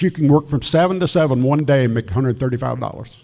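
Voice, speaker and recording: With lively intonation, a man speaks in a Southern US accent. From South Carolina (Greenwood). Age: 80s+. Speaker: elections official. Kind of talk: talk with Q&A to audience.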